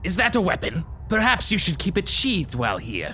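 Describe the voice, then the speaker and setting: In a put-on character voice at a middle pitch, the speaker goes at a fairly quick pace over clear background noise. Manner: calm, formal, polite.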